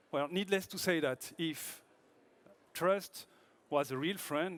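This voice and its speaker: This man talks in a French accent at a fairly slow pace. His pitch sits fairly high. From France. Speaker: product manager presenting at a tech conference. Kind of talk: conference talk. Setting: stage with audience.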